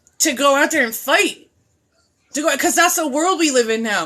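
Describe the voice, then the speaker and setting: A woman with a high, bright, sharp voice speaks at a moderate pace in an animated, raised, projected tone with ordinary pitch variation. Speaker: video blogger and mental health advocate. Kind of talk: impassioned rant. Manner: loud.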